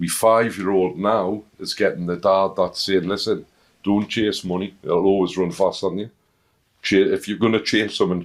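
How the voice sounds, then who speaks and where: In a strong Northern English accent, a man speaks at a moderate pace with a fairly low pitch and monotone, flat intonation. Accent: thick Northern English. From Northern England. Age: 50s. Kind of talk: interview answer. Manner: humorous, warm.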